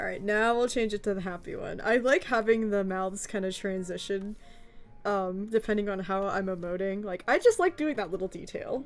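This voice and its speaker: A woman at a medium pitch with an American accent, music in the background. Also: ordinary pitch variation. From US South. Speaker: animator and voice actor streamer. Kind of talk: live stream commentary while animating. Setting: live stream. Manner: fast.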